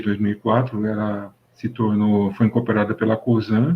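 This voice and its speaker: Here a man of medium pitch speaks at a fairly slow pace. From interior of São Paulo state, Brazil. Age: 60s. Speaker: mechanical engineer. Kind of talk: interview. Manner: halting, many fillers.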